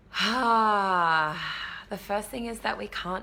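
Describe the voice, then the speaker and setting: Against noticeable background noise, a woman speaks at a fairly slow pace with lively intonation. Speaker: retreat space holder and coach. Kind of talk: casual live video update. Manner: animated.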